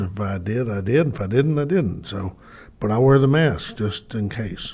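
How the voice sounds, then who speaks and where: At medium pitch and a moderate pace, a man sounds somewhat breathy with a dark, mellow tone and ordinary pitch variation, with audible room echo. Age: 70s. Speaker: city board director. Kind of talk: council meeting remarks. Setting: city board meeting. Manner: halting.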